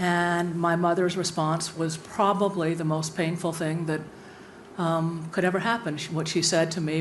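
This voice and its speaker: A woman's fairly low voice at a moderate pace, with fairly even intonation and audible room echo. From USA, born in Cuba. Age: 60s. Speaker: university president. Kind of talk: panel discussion.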